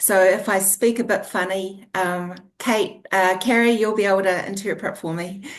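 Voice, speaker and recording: With a New Zealand accent, a woman speaks in a medium pitch at a moderate pace, her intonation flat and monotone. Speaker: author, former registered nurse. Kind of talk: interview. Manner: halting.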